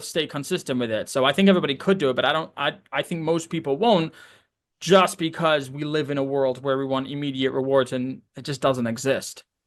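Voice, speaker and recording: A man speaks fairly quickly in a plain, everyday voice, fairly high in pitch with ordinary variation. The background is quiet. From Canada. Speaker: real estate entrepreneur. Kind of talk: casual chat.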